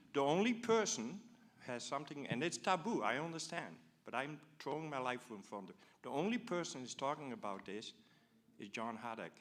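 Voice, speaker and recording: In a Dutch accent, a man talks at a fairly quick pace and a fairly high pitch. His pitch swings very widely. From Netherlands. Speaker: audience member asking a question. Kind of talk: public forum question. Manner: animated.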